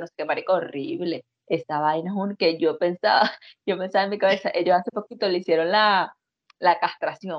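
Speaking in a Venezuelan accent, a woman with a fairly low pitch talks at a fairly quick pace with fairly even intonation. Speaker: podcast co-host. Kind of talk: casual chat.

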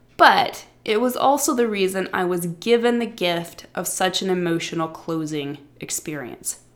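Speaking in a Midwestern accent, a woman keeps a moderate pace with hardly any pauses. Her intonation is lively. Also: medium pitch for a woman. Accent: Midwestern American, says warsh for wash. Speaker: writing coach podcast host. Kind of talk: scripted narration.

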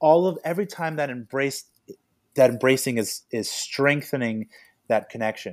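A plain, everyday voice from a male speaker, medium in tempo and normal in pitch movement, captured very cleanly against a silent background. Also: fairly high pitch for a man. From US West Coast (Los Angeles area). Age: 30s. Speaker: farmer and health author. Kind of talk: casual chat.

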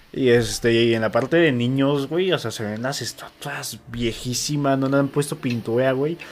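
At a moderate pace and medium pitch, a man speaks with ordinary pitch variation and hardly any pauses. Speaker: podcast co-host. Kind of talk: reading aloud; casual chat.

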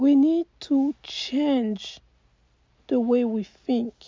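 The woman's voice is high-pitched. Its pitch varies in an ordinary way. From Côte d'Ivoire. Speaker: life coach. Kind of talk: motivational talk.

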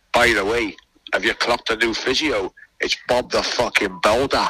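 Doing a put-on character voice, a man booms at a medium pitch and moderate pace with very even loudness, the sound dry and close with no echo. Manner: jovial, loud, joking.

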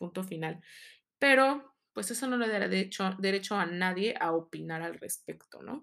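Using an unremarkable speaking voice, a woman talks at a moderate pace and medium pitch with lively intonation. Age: 30s. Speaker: podcast host. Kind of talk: personal monologue.

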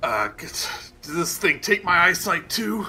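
A man puts on a raspy character voice, high-pitched and very slow.

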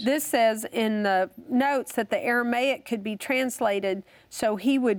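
A woman with a normal speaking voice talks fairly slowly with lively intonation. The recording is very clean, with a silent background. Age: 50s. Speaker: bible teacher. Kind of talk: teaching.

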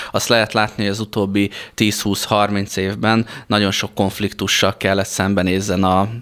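In a monotone, flat intonation, a man with a fairly low pitch speaks at a fairly slow pace. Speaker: flight instructor and space program training lead. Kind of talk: radio interview. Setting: studio.

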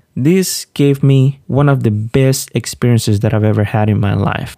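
A man with a Spanish accent speaks at a moderate pace and medium pitch, with fairly even intonation. His tone is dark and mellow, and the sound is dry and close with no echo. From Honduras, Olanchito. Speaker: podcast host, PhD student in animal science. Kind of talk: personal storytelling monologue.

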